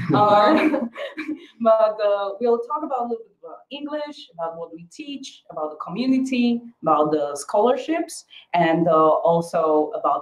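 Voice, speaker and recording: In a Slovak accent, a woman speaks at medium pitch and a moderate pace. Her pitch swings very widely. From Slovakia. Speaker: school staff. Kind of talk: webinar.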